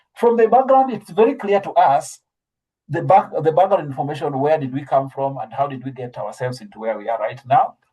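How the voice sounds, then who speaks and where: Lively intonation from a man, somewhat breathy, dark and mellow in tone. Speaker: trainer in scientific writing. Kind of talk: online training lecture. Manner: fast; hesitant, many fillers and restarts.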